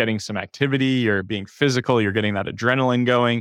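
The delivery moves at a fairly quick pace with fairly even intonation. It is an unremarkable speaking voice. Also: man. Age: 30s. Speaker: therapist and private practice coach. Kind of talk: casual interview, personal story.

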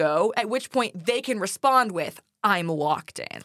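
A woman talks at a moderate pace in a plain, everyday voice, her intonation lively. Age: 20s. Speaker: teacher, podcast co-host. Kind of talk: casual chat.

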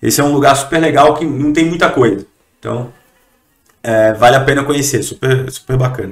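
A man's fairly high voice at a fairly quick pace, with ordinary pitch variation and long, frequent pauses. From Brazilian Northeast. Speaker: entrepreneur. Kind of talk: podcast interview.

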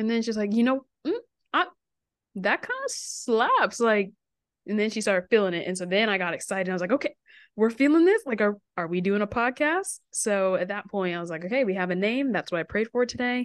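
A woman with a plain, everyday voice speaks at a fairly quick pace and fairly high pitch with lively intonation, recorded dry and close with no echo. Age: 20s. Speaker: podcast co-host, counter-trafficking nonprofit worker. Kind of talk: casual chat.

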